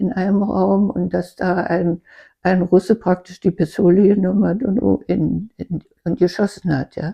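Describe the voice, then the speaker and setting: With vocal fry, a woman talks at a fairly slow pace in a medium pitch. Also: fairly even intonation. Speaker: contemporary witness. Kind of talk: interview answer. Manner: hesitant, with many fillers.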